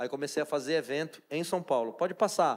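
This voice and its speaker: Very clean and set against a silent background, the recording captures a man talking rather quickly. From Brazil, Pará (Amazon riverside, Santarém region). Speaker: chef and restaurant owner. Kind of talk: talk to a church audience.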